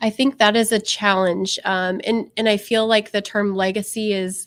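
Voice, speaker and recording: On a very clean recording with a silent background, a woman with an American accent speaks fairly slowly in a flat monotone. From US Midwest, Iowa. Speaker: photographer. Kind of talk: casual interview.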